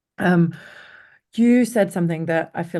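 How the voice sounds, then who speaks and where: This woman's pitch is fairly low. Her tone is dark and mellow. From Denmark. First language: Danish. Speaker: company CEO, interviewer. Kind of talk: interview conversation. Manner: hesitant, many fillers.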